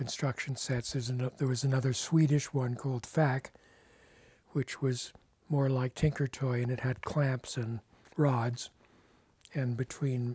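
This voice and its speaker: This man's voice is dark and mellow, somewhat breathy, with a monotone, flat intonation. He talks at a fairly slow pace, and the sound is dry with no echo. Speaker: interviewee. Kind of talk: interview answer. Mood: warm, reminiscing, smiling. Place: home room.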